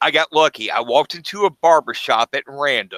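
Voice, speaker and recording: A man talks at a moderate pace with ordinary pitch variation and a bright, sharp tone, the sound dry and close with no echo. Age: 40s. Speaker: fish breeder and channel owner. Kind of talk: casual livestream chat. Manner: hesitant, many fillers.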